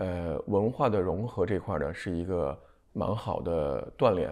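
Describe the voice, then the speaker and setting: Against a quiet background, a man talks at a fairly slow pace and a fairly low pitch. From China. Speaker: pharmaceutical distribution executive; interviewee. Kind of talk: TV interview. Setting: studio. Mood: calm, reflective. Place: home room. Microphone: lapel.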